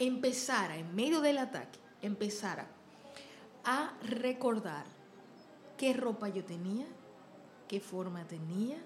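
A woman talks at a very slow pace, with noticeable background noise and audible room echo. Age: 30s. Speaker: podcast host and singer. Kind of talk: casual interview chat.

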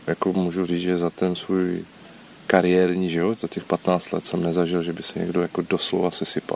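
Very deep and low, a man's voice proceeds at a moderate pace. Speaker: former special police officer. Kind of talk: interview.

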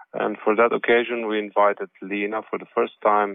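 A man with a Slovene accent and a fairly low pitch. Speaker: jazz saxophonist and composer. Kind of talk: interview. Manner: halting.

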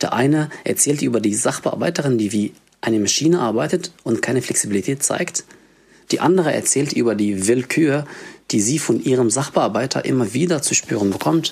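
Using an ordinary speaking voice, a man speaks at a medium pitch and a fairly quick pace, his loudness very even. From Egypt. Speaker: refugee social worker and activist. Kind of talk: reading an essay aloud.

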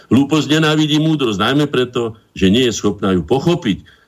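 A man's medium-pitched voice with vocal fry, lively intonation and a fairly quick pace. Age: 60s. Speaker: painter and cultural association chairman. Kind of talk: radio interview.

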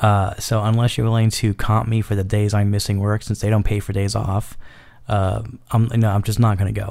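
Over a silent background in a very clean recording, a man with an American accent speaks at a moderate pace and fairly low pitch in a monotone, flat intonation. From New York City. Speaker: podcast host. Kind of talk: casual solo monologue.

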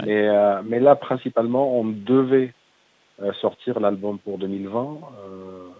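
Speaking at a very slow pace with long, frequent pauses, a man at fairly low pitch shows big swings in loudness and ordinary pitch variation. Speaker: metal band singer. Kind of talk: radio interview.

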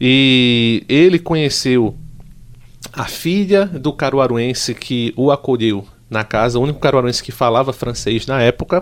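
A man at a medium pitch, fairly slow pace and ordinary pitch variation. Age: 30s. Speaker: pharmacist and monarchist group leader. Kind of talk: interview. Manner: halting.

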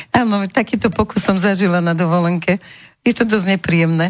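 A woman's somewhat breathy voice at a medium pitch, with ordinary pitch variation. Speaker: radio talk show host. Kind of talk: radio talk show. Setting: radio studio. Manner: seductive, cooing.

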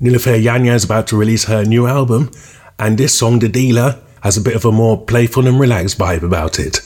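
A man's voice sits at a medium pitch and sounds somewhat breathy. He talks at a fairly quick pace. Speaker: radio DJ. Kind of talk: radio DJ patter, scripted-sounding track intros and back-announcements. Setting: radio show. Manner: upbeat, brisk, polished broadcaster delivery; enthusiastic, moving quickly from one track to the next.

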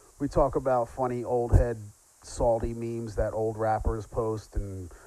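Moving at a moderate pace, a man speaks at medium pitch. His tone is dark and mellow. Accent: American. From Philadelphia. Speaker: podcast host. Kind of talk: scripted narration; casual chat.

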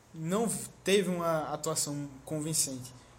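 Room echo is audible as a man speaks with lively intonation. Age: 20s. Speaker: podcast co-host. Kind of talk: casual chat.

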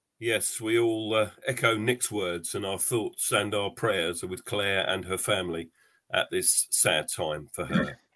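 A man talks at a fairly slow pace in an unremarkable speaking voice, his fairly low pitch rising and falling in ordinary ways. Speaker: podcast host. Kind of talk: casual chat. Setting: video call.

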